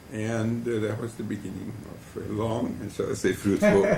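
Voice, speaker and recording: Audible room echo surrounds a man talking at a moderate speed. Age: 70s. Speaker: family historian. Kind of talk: oral history testimony. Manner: measured, with fillers.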